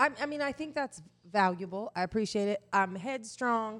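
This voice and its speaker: A woman with an American accent and a plain, everyday voice speaks at medium pitch and a fairly slow pace, her intonation lively. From Indiana, US Midwest. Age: 40s. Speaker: sexologist and sex educator. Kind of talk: casual podcast conversation. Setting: podcast recorded at kitchen table, on camera.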